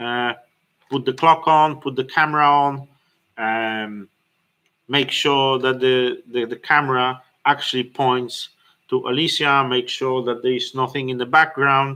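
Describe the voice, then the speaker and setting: In a non-native accent, a man speaks at a fairly slow pace with monotone, flat intonation and a bright, sharp tone on a very clean recording with a silent background. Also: medium pitch for a man. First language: not English. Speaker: business owner and fitness studio co-founder. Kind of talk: livestream tutorial. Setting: livestream. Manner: halting, many fillers and restarts.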